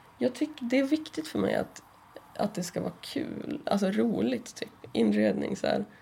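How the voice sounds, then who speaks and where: With noticeable background noise, a woman talks at a moderate pace. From northern Sweden (Kramfors, Ångermanland). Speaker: comic artist. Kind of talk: casual chat.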